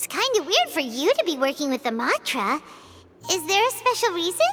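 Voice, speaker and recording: This put-on character voice is squeaky, with an extremely high pitch. It makes very wide pitch swings. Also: fairly quick pace. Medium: video game. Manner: chatty, expressive.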